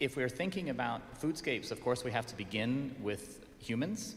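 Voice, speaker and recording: A man with a Colorado accent talks at a moderate pace, with audible room echo in the recording. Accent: American, Colorado. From US, Colorado (Pueblo). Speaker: urban design consultant. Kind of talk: conference presentation. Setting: stage with audience, also streamed on Zoom.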